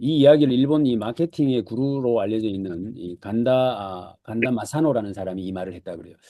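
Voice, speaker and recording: Against a quiet background, a man with a medium-pitched, dark, mellow voice speaks at a fairly quick pace with lively intonation. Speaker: lecturer, book summary host. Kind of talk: online lecture. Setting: Zoom video call. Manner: hesitant with frequent fillers.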